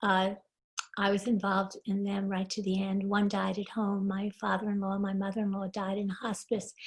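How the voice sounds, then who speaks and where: A woman speaks at medium pitch and a moderate pace. Her somewhat breathy voice stays monotone and flat. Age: 80s+. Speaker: class participant. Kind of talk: casual introduction. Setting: video call.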